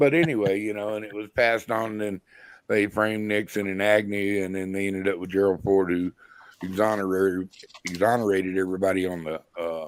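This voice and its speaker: In a normal speaking voice, a man talks at a fairly quick pace and fairly low pitch, his intonation fairly even. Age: 60s. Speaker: live stream guest. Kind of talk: casual chat.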